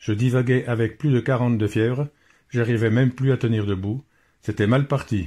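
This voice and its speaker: Here a man speaks at a moderate pace and medium pitch, somewhat breathy, with ordinary pitch variation. The recording is very clean with a silent background. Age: 60s. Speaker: cancer patient. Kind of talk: testimony.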